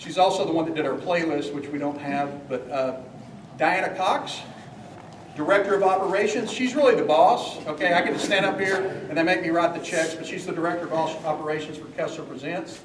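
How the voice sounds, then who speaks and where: A man's high voice comes through with audible room echo and noticeable background noise. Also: ordinary pitch variation. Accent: East Texas. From East Texas. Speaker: music venue owner and developer. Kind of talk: community meeting presentation. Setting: public meeting with live audience. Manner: fast; animated.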